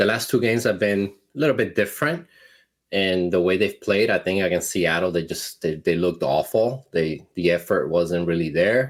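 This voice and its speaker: The recording is very clean, with a silent background. A man with a very deep, low pitch speaks at very even loudness with ordinary pitch variation. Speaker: sports podcast host. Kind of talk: casual sports chat. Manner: fast.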